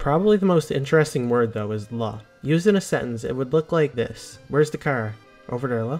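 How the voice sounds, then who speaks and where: A man talks fairly quickly. Behind his voice, music can be heard. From Newfoundland, Canada. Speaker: educational video narrator. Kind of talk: educational explainer narration.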